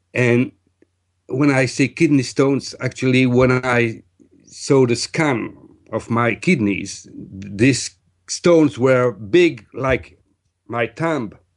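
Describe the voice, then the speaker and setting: A man with a French accent, medium in pitch, at a very slow pace. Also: ordinary pitch variation. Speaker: energy healer. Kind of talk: interview testimony. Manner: hesitant, many fillers.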